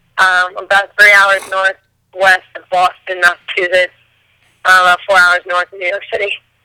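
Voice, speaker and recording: With an American accent, a woman speaks at a medium pitch in a bright, sharp tone and flat, monotone intonation, the sound dry and close with no echo. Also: moderate pace. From Vermont, US. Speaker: singer. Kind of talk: casual chat. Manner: mumbles.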